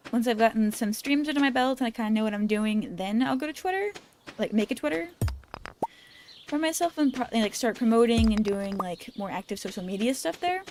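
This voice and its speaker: Background music can be heard. The speaking pace is fairly quick. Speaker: gaming vtuber. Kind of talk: casual gameplay livestream chat. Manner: rambly, thinking out loud.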